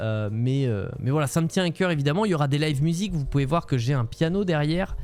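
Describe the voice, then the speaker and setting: Talking at a very fast pace, a man with a fairly high voice uses lively intonation while keeping very even loudness. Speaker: Twitch streamer. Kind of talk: casual livestream chat. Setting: home room, livestream. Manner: many filler hesitations.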